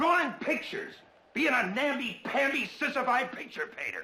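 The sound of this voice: A man uses a put-on character voice at an extremely high pitch, with big pitch swings and a bright, sharp tone. He keeps a moderate pace, and room echo is audible.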